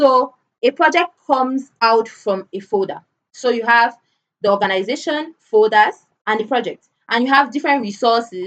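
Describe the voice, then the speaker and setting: A woman speaks in a plain, everyday voice. Her pitch is fairly high and her pace is moderate. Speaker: cybersecurity analyst teaching a cloud certification course. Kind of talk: online lecture.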